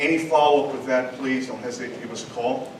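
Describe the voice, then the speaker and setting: With a slight New York accent, a man speaks at a moderate pace in a monotone, flat intonation, amid audible room echo and noticeable background noise. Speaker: police district commander. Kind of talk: community meeting report.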